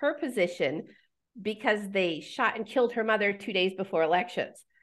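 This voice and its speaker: This woman has an American accent and a fairly high pitch with lively intonation. She speaks at a moderate pace against a quiet background. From Pennsylvania, US. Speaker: author and herbalist. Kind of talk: interview. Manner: halting, many fillers.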